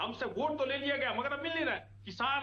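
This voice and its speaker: A man's raised, projected voice in an animated tone with ordinary pitch variation, plus audible room echo and noticeable background noise. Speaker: opposition party spokesperson. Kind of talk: heated TV debate. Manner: animated, forceful.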